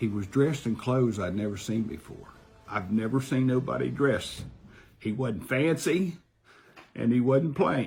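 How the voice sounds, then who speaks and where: With lively intonation and a somewhat breathy medium pitch, a man speaks at a moderate pace. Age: 70s. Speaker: heart surgery patient telling a near-death experience. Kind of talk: testimony. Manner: halting.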